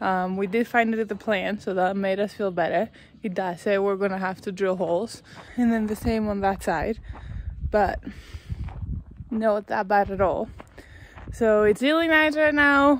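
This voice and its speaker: At a moderate pace with long, frequent pauses, a woman speaks with ordinary pitch variation, the sound dry with no echo over light background noise. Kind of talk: casual vlog chat. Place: open country. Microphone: phone near.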